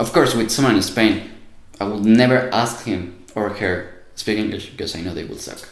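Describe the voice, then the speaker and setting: Speaking in a Spanish accent at a medium pitch, a man moves at a fairly quick pace with long, frequent pauses, ordinary pitch variation, big swings in loudness and audible room echo. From Mexico. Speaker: university student. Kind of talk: casual interview.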